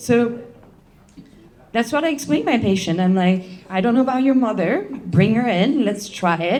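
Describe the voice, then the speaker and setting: Speaking at a moderate pace with a French accent, the voice has lively intonation, very even loudness and long, frequent pauses, with noticeable background noise and audible room echo. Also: woman, fairly high pitch for a woman. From France. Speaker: chiropractor. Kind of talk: presentation to an audience.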